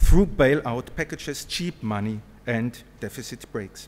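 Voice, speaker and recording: A man speaks with a German accent. His pitch swings very widely. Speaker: professor. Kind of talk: conference talk. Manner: formal.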